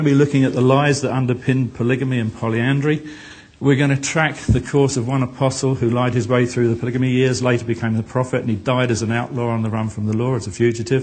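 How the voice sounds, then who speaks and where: The speech runs at a very fast pace with hardly any pauses and fairly even intonation. Noticeable background noise is present. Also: man. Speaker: author and speaker on Mormonism. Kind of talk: conference presentation.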